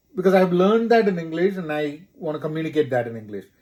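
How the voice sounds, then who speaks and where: In a Keralan accent, a man talks at a fairly high pitch. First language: Malayalam. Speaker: corporate professional, podcast co-host. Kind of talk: casual chat.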